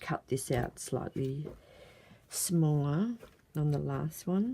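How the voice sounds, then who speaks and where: Soft-spoken and dark, mellow in tone, a woman talks at a very deep, low pitch with lively intonation. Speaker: crafts video maker. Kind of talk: tutorial. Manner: casual.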